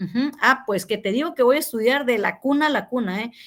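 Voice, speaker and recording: The speaker is a woman with a high pitch. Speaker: university teacher. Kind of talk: online class feedback session. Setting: video call.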